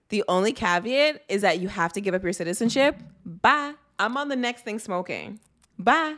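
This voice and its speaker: With a Toronto accent, this speaker moves at a moderate pace and uses lively intonation. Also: woman, fairly high pitch for a woman. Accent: Toronto Canadian English. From Canada, Greater Toronto Area. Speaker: diversity and inclusion director. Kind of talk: casual chat.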